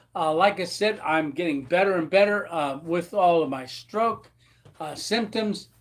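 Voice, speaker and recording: Speaking fairly slowly, a man talks with an American accent. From United States. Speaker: YouTube vlogger, stealth camper. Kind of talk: live stream chat. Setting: live stream from home with camera. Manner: slight speech slurring after stroke.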